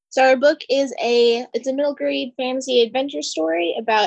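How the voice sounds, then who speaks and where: Speaking at a moderate pace, a woman with an American accent and a fairly high pitch has a plain, everyday voice in a dry, close sound with no echo. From Pennsylvania. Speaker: cartoonist. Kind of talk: interview.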